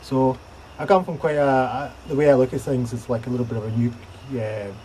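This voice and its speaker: The voice is relaxed, somewhat breathy and dark and mellow, moving at a fairly quick pace with ordinary pitch variation. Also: man. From Scotland. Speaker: bushcraft YouTuber and gear reviewer. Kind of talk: casual vlog to camera. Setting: outdoors, sheltering from rain in a small cave. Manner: relaxed, with many fillers.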